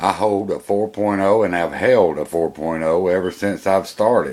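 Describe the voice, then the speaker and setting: Over noticeable background noise, a man with an American accent speaks at a moderate pace in a very deep, low voice with ordinary pitch variation. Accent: Georgia Southern redneck. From Georgia, US South. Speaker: college student and vlogger. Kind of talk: personal video monologue. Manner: casual, hesitant with fillers.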